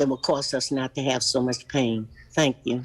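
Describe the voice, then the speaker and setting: An American accent comes through. The speed is moderate. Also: woman. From Charlottesville, Virginia (US South). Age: 80s+. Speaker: public commenter. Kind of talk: public comment testimony.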